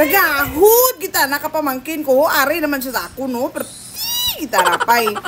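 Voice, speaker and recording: Very wide pitch swings come at a moderate pace over noticeable background noise. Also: woman, high pitch for a woman. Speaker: vlogger. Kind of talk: casual vlog narration to camera. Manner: upbeat.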